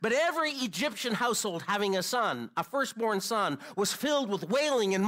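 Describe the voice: Reading aloud, plain.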